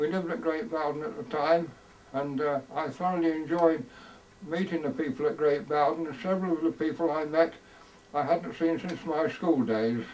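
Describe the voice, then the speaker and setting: Over noticeable background noise, a man with an East Midlands accent speaks with ordinary pitch variation. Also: fairly high pitch for a man, moderate pace. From Leicestershire, England. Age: 80s+. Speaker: war veteran. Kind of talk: recorded introduction. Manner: halting.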